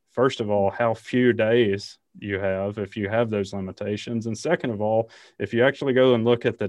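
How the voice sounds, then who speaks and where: A man with a Southern US accent speaks at a fairly quick pace, his fairly low voice keeping a fairly even intonation. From Alabama, US South. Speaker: ecologist and university professor. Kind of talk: interview.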